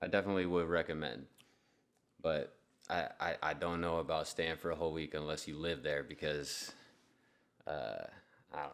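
With vocal fry and a very deep, low pitch, a man talks at a moderate pace in fairly even intonation, leaving long, frequent pauses. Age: 20s. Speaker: podcast co-host, beer reviewer. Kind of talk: casual chat.

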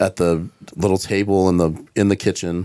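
A man speaks with a Southern US accent in a very deep, low pitch and fairly even intonation. The recording is very clean, with a silent background. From US South. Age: 50s. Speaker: comedian. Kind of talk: casual chat.

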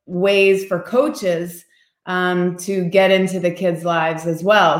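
An American accent marks this woman's ordinary speaking voice, medium in pitch, delivered at a fairly slow pace with fairly even intonation. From US Midwest, Indiana. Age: 50s. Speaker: entrepreneur and children's advocate. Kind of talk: interview.

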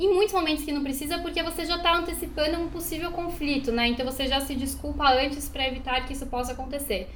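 Over noticeable background noise and audible room echo, a woman speaks very fast with hardly any pauses in a high pitch with ordinary pitch variation. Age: 20s. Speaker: podcast co-host. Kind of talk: casual chat. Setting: recording at home.

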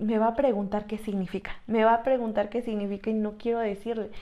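A woman speaks with a dark, mellow tone. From Mexico, Tlaxcala. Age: 20s. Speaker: podcast co-host, church youth worker. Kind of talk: casual chat. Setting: small room, seated together.

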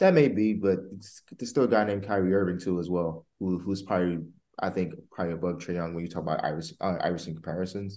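A man with an American accent speaks at a very fast pace in a very deep, low voice. His tone is dark and mellow, with ordinary pitch variation. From New Jersey. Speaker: podcast host. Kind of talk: casual podcast interview.

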